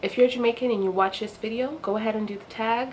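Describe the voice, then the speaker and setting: Ordinary pitch variation in a female voice, noticeable background noise underneath. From Jamaica. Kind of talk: casual talk to camera.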